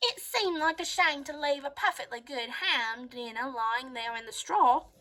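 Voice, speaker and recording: Moderate pace, high pitch, and a put-on character voice from a woman. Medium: read story. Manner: self-justifying.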